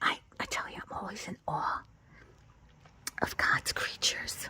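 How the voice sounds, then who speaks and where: A woman whispers. She goes at a very slow pace. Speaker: lifestyle vlogger. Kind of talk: ASMR garden vlog. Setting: outdoors. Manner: soft-spoken, whispered.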